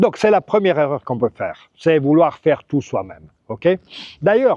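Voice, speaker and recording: A man's fairly high-pitched voice with a dark, mellow tone, big swings in loudness, very wide pitch swings and a moderate pace. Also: dry, close sound with no echo. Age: 60s. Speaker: real estate agent and expat advice vlogger. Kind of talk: advice vlog monologue. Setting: outdoors by a lagoon. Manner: casual, with hesitations and false starts.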